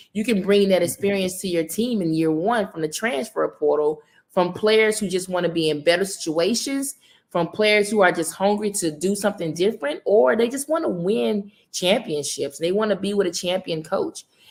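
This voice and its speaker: With a Southern US accent, a woman speaks at a moderate pace and medium pitch. Her tone is animated and her intonation lively. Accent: Southern accent, noticeable. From US South, Mississippi. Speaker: women's basketball coach. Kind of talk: interview.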